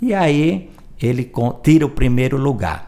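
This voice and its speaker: A man is speaking. He has a strong northeastern Brazilian accent. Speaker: journalist and music researcher. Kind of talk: podcast interview, storytelling.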